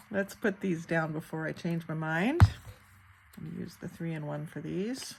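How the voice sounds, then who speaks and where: This woman is soft-spoken and somewhat breathy, with a fairly low pitch and ordinary pitch variation. Her loudness swings a lot. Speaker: crafter and online shop owner. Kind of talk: crafting tutorial. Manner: slow, thinking aloud.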